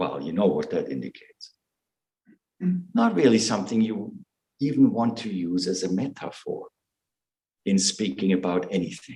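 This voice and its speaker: A man with a non-native accent at a moderate pace, with long, frequent pauses. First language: not English. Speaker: Zen teacher. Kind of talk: dharma talk. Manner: halting.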